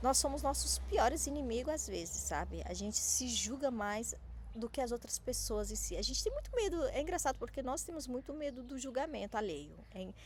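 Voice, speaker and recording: A woman talks at a moderate pace with hardly any pauses. There is noticeable background noise. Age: 30s. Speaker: small business coach. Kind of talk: motivational talk to camera. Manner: halting, repeats and clips words.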